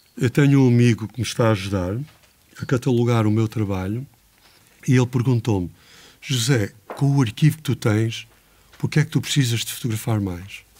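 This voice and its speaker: A dark, mellow tone broken by long, frequent pauses. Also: man, medium pitch for a man, ordinary pitch variation, moderate pace. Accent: European Portuguese. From Portugal. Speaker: photographer. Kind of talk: lecture. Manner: halting.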